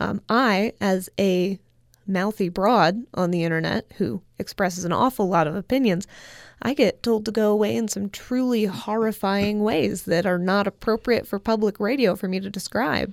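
A woman with a plain, everyday voice, medium pitch and ordinary pitch variation, at a moderate pace in a very clean recording with a silent background. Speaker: author and social critic. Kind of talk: radio interview. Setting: radio studio.

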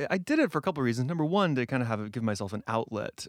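Recorded very cleanly against a silent background, with a dry, close sound and no echo, a man speaks at a medium pitch with lively intonation in an unremarkable speaking voice. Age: 30s. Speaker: playwright and actor. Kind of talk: interview.

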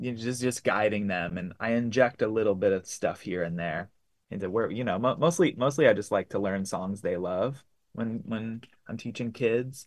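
The pace is moderate and the pitch varies in an ordinary way. It is a normal speaking voice. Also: man, medium pitch for a man. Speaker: singer-songwriter and guitar teacher. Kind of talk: interview.

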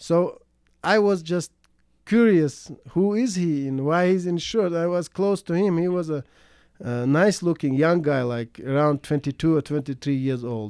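A man with a Russian accent, high-pitched for a man, fairly slow, with lively intonation, on a very clean recording with a silent background. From Chechnya. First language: Russian or Chechen. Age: 30s. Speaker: immigrant interviewee. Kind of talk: personal storytelling interview. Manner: halting, with many fillers and restarts.

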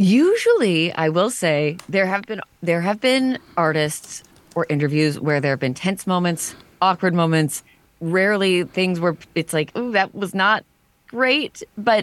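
She has an ordinary speaking voice at a medium pitch for a woman. Her pace is fairly slow and her intonation lively. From Canada, Toronto area. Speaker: music radio host. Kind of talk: interview.

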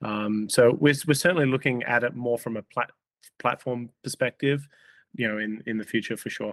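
Someone with an Australian accent speaks at a moderate pace with ordinary pitch variation, in a dry, close sound with no echo. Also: man, medium pitch for a man. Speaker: company CEO. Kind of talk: interview. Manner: halting, many fillers.

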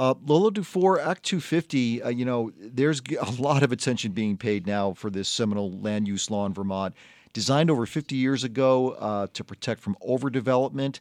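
In a plain, everyday voice of medium pitch, a man talks at a fairly quick pace with hardly any pauses, the sound dry and close with no echo over a quiet background. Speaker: radio host. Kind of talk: radio panel discussion. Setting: studio.

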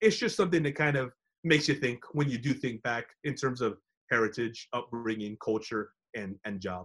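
With an American accent, a man speaks in a medium pitch with ordinary pitch variation and a plain, everyday voice. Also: moderate pace. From Texas, San Antonio. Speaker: sports broadcaster. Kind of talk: interview.

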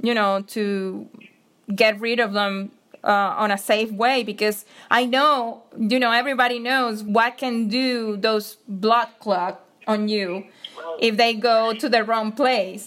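A woman with a Venezuelan accent speaks at a very slow pace, her fairly high pitch carried in fairly even intonation. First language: Spanish. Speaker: photojournalist, COVID survivor. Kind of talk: personal testimony interview.

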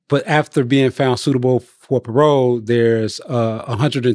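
With an American accent and a dark, mellow tone, a man is heard in a dry, close sound with no echo. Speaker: incarcerated man seeking parole. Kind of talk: interview.

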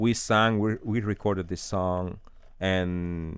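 A man with a Spanish accent, very deep and low in pitch, fairly even in intonation, on a very clean recording with a silent background. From Cuba. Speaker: opera singer. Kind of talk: interview. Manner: halting.

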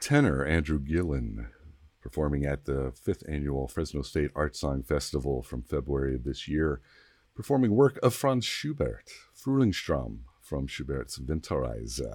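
A man speaks in a very deep, low pitch with a relaxed, warm tone and ordinary pitch variation. The recording is very clean, with a silent background. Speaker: public radio host. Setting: radio broadcast.

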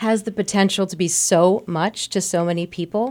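A woman's ordinary speaking voice, fairly low in pitch, with ordinary pitch variation. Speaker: arts advocate. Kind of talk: casual radio conversation. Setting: radio studio.

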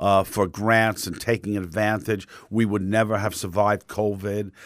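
In a very clean recording with a silent background, a man with a New York accent speaks fairly slowly at a fairly low pitch, his intonation monotone and flat. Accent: New York, thickening. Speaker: theater director. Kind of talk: radio interview.

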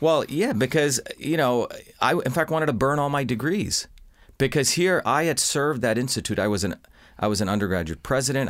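A normal speaking voice with an American accent, fairly quick pace, lively intonation and very even loudness, on a very clean recording with a silent background. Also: man. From India, then US from age seven. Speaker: inventor and scientist. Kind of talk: interview.

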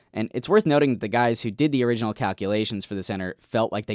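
Upbeat in tone and very fast in pace, a man with a fairly low pitch speaks with lively intonation. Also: dry, close sound with no echo, very clean recording, silent background. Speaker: podcast co-host. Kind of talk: casual chat and narrated field reporting. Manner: upbeat, laughs often.

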